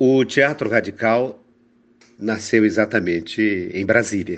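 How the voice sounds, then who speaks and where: Pitch variation is ordinary. The man delivers his words at a very slow pace. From Northeast Brazil, Fortaleza (Ceará). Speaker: actor, playwright and theatre professor. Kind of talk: interview. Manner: formal, elaborate phrasing; hesitant word repetitions.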